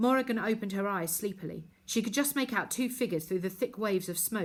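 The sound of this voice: Pitch moves with ordinary variation through an unforced reading voice.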